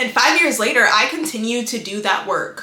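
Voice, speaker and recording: Noticeable background noise is present throughout. Over it, a woman speaks at a fairly quick pace. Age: 20s. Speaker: relationship advice YouTuber. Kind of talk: casual talk to camera. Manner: casual, chatty.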